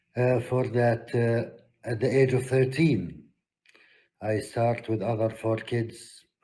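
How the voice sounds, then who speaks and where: A man talks at a medium pitch in a dark, mellow tone that is somewhat breathy. His intonation stays monotone and flat. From Palestine. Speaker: peace activist. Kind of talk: conference talk. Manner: hesitant with fillers.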